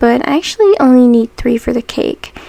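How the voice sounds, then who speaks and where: Noticeable background noise accompanies a woman speaking at a moderate pace in a high pitch, the sound dry and close with no echo. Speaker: miniature crafter. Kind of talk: voiceover narration of craft tutorial. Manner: casual, conversational.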